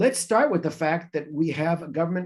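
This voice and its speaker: Here is a man with a fairly high pitch. He has an ordinary speaking voice. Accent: American. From North Carolina, US South. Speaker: professor and member of parliament. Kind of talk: webinar talk. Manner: conversational with many filler words.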